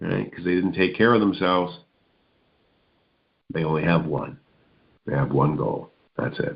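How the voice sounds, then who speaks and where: A man speaks fairly slowly in a very deep, low pitch, with vocal fry and very wide pitch swings. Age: 60s. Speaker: motivational speaker and radio host. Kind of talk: motivational radio monologue. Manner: conversational, repetitive.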